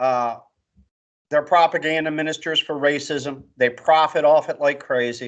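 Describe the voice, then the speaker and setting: Against a quiet background, a man with an American accent talks at a moderate pace, his pitch fairly high and his intonation fairly even. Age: 60s. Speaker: political commentary co-host. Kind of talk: casual political chat. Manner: emphatic, forceful.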